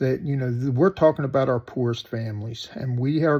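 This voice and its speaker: Against a quiet background, a man with an American accent speaks at a medium pitch, somewhat breathy, with ordinary pitch variation. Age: 60s. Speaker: political commentator vlogger. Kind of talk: opinion monologue. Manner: animated.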